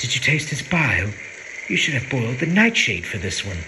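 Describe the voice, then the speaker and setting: Someone cackles in a put-on character voice at a fairly quick pace. Clear background noise can be heard. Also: man, medium pitch for a man. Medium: read story. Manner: cackling, relishing.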